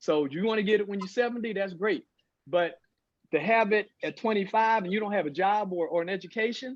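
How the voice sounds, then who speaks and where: The speech moves at a fairly quick pace. The background is quiet. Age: 60s. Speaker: talk show panelist. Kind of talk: casual discussion.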